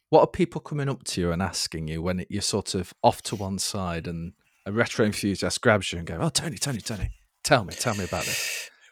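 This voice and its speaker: Here is a man with a plain, everyday voice, fairly low in pitch, talking at a fairly quick pace with lively intonation. The recording is very clean and silent behind him, with a dry, close sound and no echo. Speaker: podcast host. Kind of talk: casual chat.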